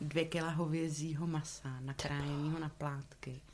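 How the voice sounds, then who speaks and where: Her voice is very deep and low for a woman, in a flat monotone. Room echo is audible. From South Moravia, Czechia (Valtice). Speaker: theatre props maker and painter. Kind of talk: casual interview. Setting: theatre props room.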